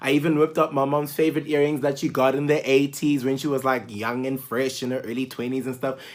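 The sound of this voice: The pace is fairly quick. There is little pitch movement.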